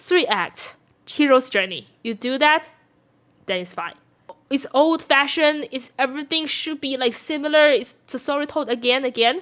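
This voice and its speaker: Speaking in a Chinese accent, the voice has lively intonation and a moderate pace. The recording is very clean, the background silent. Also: woman, high pitch for a woman. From China. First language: Mandarin Chinese. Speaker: film reviewer. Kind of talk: casual video review. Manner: halting, with frequent restarts.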